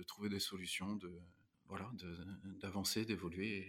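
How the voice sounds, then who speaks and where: Speaking at a fairly slow pace, a man uses a fairly low pitch and a monotone, flat intonation. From France, Normandy (Rouen). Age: 30s. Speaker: restaurant manager. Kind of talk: interview.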